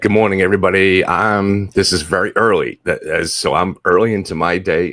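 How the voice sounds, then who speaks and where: Using a put-on character voice, a man speaks raspy and fairly low-pitched in a flat monotone, at a fairly quick pace with very even loudness. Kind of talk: casual greeting to an audience.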